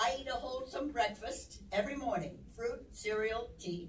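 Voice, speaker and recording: A woman speaks at a moderate pace in a fairly high voice, her intonation lively and the room echo audible. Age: 80s+. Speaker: motivational speaker. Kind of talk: inspirational talk.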